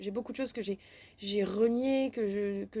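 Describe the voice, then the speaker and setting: A woman speaks at a fairly slow pace with a fairly high pitch. Her tone is dark and mellow. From French Basque Country, then Burgundy. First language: Basque (speaking French). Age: 20s. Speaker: interviewee. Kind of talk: testimony. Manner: halting, many hesitations.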